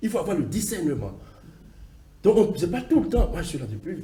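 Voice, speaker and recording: Talking at a fairly quick pace in a high pitch, a man with a Beninese accent is heard with audible room echo. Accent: African accent, Beninese. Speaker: diaspora community advocate, TV guest. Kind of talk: TV interview. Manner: halting, with repetitions.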